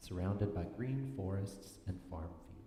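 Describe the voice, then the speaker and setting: In a room with audible echo, a man with a fairly low pitch talks at a fairly slow pace with lively intonation. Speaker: worship leader reading children's story. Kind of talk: reading aloud. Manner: loud.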